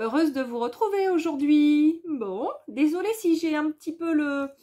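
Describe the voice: A woman speaks in a high pitch with a dark, mellow tone. Her intonation is lively and her pace moderate.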